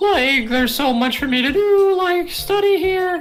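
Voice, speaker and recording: Against faint music in the background, a woman uses a squeaky, put-on character voice at an extremely high pitch and a moderate pace. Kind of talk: spaced-out slacker speech. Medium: fan dub. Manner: slack, drawling filler talk, "like" and "man".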